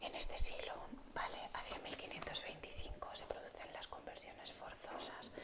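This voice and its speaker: Amid noticeable background noise, the woman's whispering unfolds at a moderate speed. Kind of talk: ASMR whispered explanation to camera. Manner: whispered, soft, relaxing.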